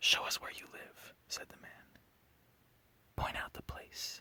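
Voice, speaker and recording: Someone whispers in a calm tone against noticeable background noise. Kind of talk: sleep story. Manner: whispered; soft-spoken, calm.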